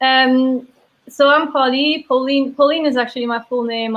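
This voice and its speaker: In a Belgian accent, a woman speaks at a moderate pace with fairly even intonation. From Belgium (Mons, French-speaking south). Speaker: brewery sales and taproom manager. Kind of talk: casual interview chat.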